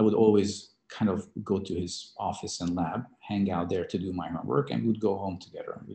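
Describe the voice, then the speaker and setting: A man with a Hungarian accent talks at a moderate pace. His voice is fairly low in pitch with a dark, mellow tone. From Hungary. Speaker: biotech CEO and scientist. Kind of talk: interview. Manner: halting, many fillers and repetitions.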